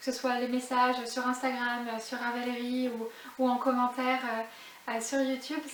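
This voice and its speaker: With audible room echo and noticeable background noise, a woman with a high pitch talks at a fairly slow pace in monotone, flat intonation. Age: 30s. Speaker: knitting vlogger. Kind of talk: casual vlog monologue. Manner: hesitant, many filler sounds.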